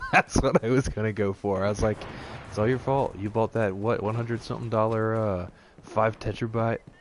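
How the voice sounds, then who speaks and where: With an American accent and a playful tone, the speaker moves at a fairly quick pace over noticeable background noise. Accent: southern US dialect, slips out. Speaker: gaming streamer. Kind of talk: casual live gameplay commentary. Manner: playful, bantering.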